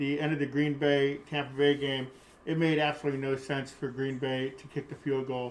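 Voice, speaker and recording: Over noticeable background noise, a man speaks at a moderate pace with a fairly high pitch and monotone, flat intonation. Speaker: podcast co-host, host's father. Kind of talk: casual sports chat. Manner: halting.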